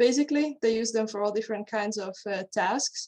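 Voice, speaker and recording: At a moderate pace, a woman speaks with a Hungarian accent. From Hungary. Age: 20s. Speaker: horse trainer and mental coach. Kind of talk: interview.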